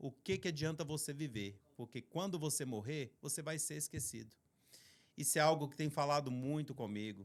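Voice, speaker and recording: A man with a Minas Gerais accent talks at a moderate pace and fairly high pitch, with ordinary pitch variation, on a very clean recording with a silent background. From Brazil, Minas Gerais. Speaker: podcast host, ministry co-founder. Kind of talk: podcast introduction.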